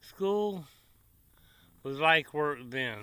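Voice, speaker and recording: Pitched fairly high, a man's voice comes through with a bright, sharp tone. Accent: Tennessee. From Tennessee, US South. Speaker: cooking vlogger. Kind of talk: casual chat to camera. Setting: outdoors by the grill. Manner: relaxed, folksy.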